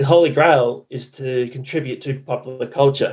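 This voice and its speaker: Somewhat breathy, a man in an Australian accent speaks at a moderate pace with a fairly high pitch and ordinary pitch variation. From Western Australia. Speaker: marketing consultant and podcaster. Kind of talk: interview. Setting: remote call.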